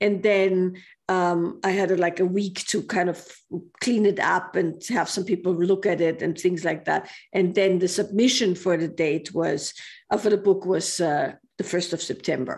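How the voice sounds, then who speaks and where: A woman in a German accent at a moderate pace with fairly even intonation, on a very clean recording with a silent background. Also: medium pitch for a woman. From Austria. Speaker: author and women's group teacher. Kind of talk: interview.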